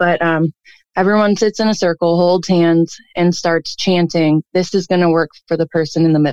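A woman's unremarkable speaking voice with an American accent, fairly low in pitch, at a moderate pace with fairly even intonation, in a dry, close sound with no echo. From Cleveland, Ohio. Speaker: caller. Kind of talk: storytelling, childhood ghost story. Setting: phone call.

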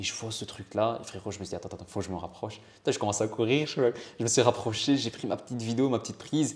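Talking very fast, a man uses a medium pitch with ordinary variation and big swings in loudness. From Italy, then Belgium. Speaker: car spotter. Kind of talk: casual chat. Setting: in person.

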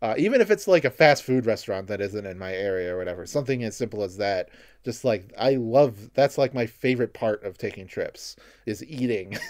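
On a very clean recording with a silent background, a man talks in an unremarkable speaking voice. His pitch is medium, with ordinary pitch variation. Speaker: podcast host and video creator. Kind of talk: casual chat.

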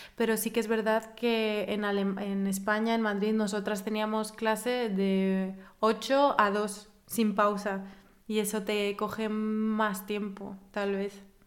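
A woman speaks very slowly with a fairly high pitch and a monotone, flat intonation. Room echo is audible. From Spain. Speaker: podcast host. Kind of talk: casual chat.

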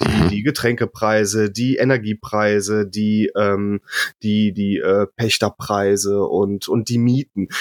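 A man speaks at a very slow pace in a flat monotone. The loudness stays very even, and the sound is dry and close with no echo. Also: fairly low pitch for a man. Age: 30s. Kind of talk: casual chat.

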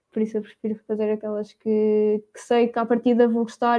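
A woman with a fairly high but dark, mellow voice speaks at a moderate pace in a monotone, flat way. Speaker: university student. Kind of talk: casual chat.

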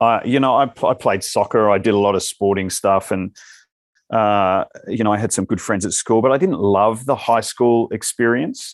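A man with an Australian accent, moderate pace and ordinary pitch variation, in a dry, close sound with no echo. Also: medium pitch for a man, quiet background. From Western Australia (Albany). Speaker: stage actor. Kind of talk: casual chat. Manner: halting.

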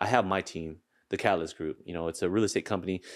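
Heard in a very clean recording with a silent background, a man with an American accent speaks in a very deep, low pitch with fairly even intonation. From US Pacific Northwest, Seattle. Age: 30s. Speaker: real estate broker and social media influencer. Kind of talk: casual chat.

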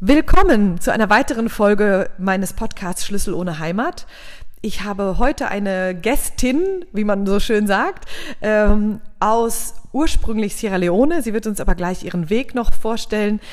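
A woman speaks in a plain, everyday voice at a fairly high pitch. She goes fairly slowly with lively intonation. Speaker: podcast host. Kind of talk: interview.

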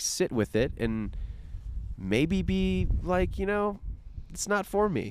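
With an American accent, a man talks at a fairly high pitch. His voice moves in very wide pitch swings. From Florida, US. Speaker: podcast co-host, father. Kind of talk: casual chat. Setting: outdoors at parents' house.

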